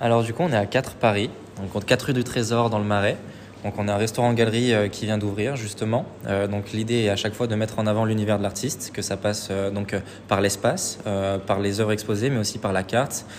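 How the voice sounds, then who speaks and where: This man's fairly low pitch, fairly even intonation and fairly quick pace come through over noticeable background noise. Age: 20s. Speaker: painter. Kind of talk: casual interview.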